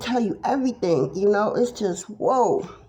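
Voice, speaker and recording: The pace of speech is fairly slow. Noticeable background noise can be heard. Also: woman. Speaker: tarot reader. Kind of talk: casual monologue vlog.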